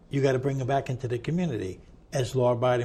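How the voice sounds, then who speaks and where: A man's somewhat breathy voice with a dark, mellow tone, medium pitch and an American accent. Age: 60s. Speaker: ex-prisoner advocate. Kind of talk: interview conversation. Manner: animated.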